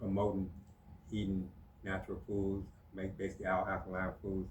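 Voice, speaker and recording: Speaking fairly quickly, a man with a very deep, low, somewhat breathy voice keeps a flat monotone while room echo is audible. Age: 60s. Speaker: natural healer. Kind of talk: casual chat. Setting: podcast studio.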